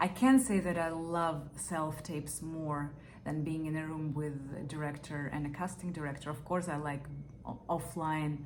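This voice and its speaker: A woman speaks in a very deep, low voice with a non-native accent and fairly even intonation, amid audible room echo and noticeable background noise. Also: moderate pace. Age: 30s. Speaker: actor. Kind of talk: audition interview. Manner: hesitant, with fillers.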